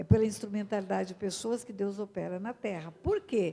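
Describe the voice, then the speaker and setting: A woman speaks with a dark, mellow tone at a medium pitch. Her pace is moderate and her pitch variation ordinary. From Brazil, Mato Grosso do Sul (Aquidauana). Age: 70s. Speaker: pastor. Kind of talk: sermon.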